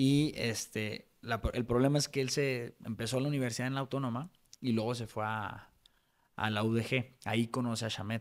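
The background is quiet as a man speaks at a moderate pace. His voice is medium-pitched and fairly even. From Mexico, Guadalajara; Jalisco, Mexico. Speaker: lawyer and real estate developer; podcast guest. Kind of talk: interview conversation; interview answer. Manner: halting, many fillers. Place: studio. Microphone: studio mic.

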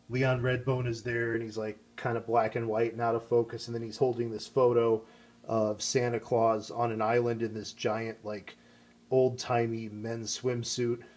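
Speaking in an American accent, a man uses monotone, flat intonation at a medium pitch. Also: moderate pace. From US Midwest. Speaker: YouTuber. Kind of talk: casual monologue.

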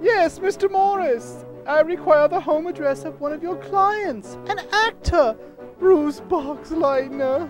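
A cartoonish character voice at a fairly slow pace, with clear music in the background. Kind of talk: comic overacting. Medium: puppet show. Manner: nervous, flustered.

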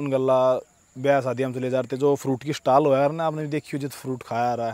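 The man's tone is dark and mellow, with monotone, flat intonation. The recording sounds dry with no echo. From Haryana, Sonipat; Haryana. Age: 20s. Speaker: wrestler and fitness vlogger; vlogger. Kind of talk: casual vlog monologue. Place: open country. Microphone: handheld.

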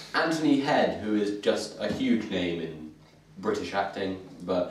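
Amid light background noise and audible room echo, a man talks at a fairly slow pace in a fairly low pitch. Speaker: group vlog host. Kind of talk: casual vlog chat. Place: home room. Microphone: camera far.

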